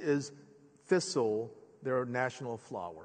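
The background stays quiet while the man talks. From born in Korea, grew up in the US (Philadelphia). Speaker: preacher. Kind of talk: sermon. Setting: church sanctuary with congregation. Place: church. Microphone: headset.

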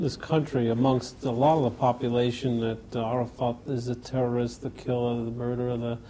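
Speaking with an American accent at a fairly quick pace, a man has a dark, mellow, somewhat breathy tone and hardly any pauses, with light background noise. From United States. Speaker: TV interviewer. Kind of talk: interview. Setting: government office in Jerusalem. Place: studio. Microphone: lapel.

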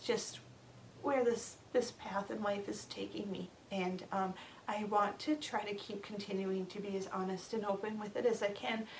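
Moderate pace over light background noise. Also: woman. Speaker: grieving parent vlogger. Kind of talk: casual vlog chat. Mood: emotional, reflective, sometimes laughing. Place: home room. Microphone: camera far.

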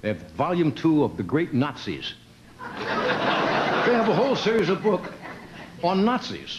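Over noticeable background noise, a man speaks fairly slowly in a high pitch that swings very widely. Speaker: late-night talk show host. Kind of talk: stand-up monologue to a studio audience. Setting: TV studio with live audience.

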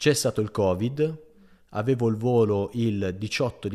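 At a fairly slow pace, a man speaks in a fairly low pitch with ordinary pitch variation. The recording is very clean, with a silent background. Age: 20s. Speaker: PhD student. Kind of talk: casual interview chat. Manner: animated.

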